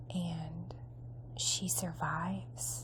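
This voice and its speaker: Soft-spoken and relaxed in tone, a woman talks at a very deep, low pitch. Her intonation stays monotone and flat. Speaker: ASMR creator. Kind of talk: ASMR magazine review. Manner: soft-spoken, relaxed.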